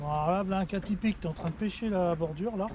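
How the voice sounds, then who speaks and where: Here a man speaks at a fairly quick pace with ordinary pitch variation. The sound is dry with no echo, though background noise is noticeable. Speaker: fishing youtuber. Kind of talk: fishing vlog commentary. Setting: outdoors. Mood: slightly annoyed at the end. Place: boat.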